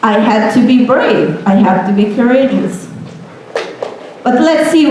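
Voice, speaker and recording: Here a woman speaks in a Hungarian accent, high in pitch with ordinary pitch variation and a fairly slow pace. Noticeable background noise and audible room echo fill the recording. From Hungary, small town. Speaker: software engineer. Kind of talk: motivational talk to students. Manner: animated.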